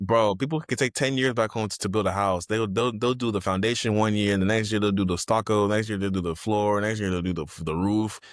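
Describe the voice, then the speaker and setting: With an American accent and a fairly low pitch, a man talks at a fairly quick pace with hardly any pauses, in a very clean recording with a silent background. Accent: Nigerian accent comes out when excited. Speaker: guest, real estate agent and educator. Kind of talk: casual chat. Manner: animated.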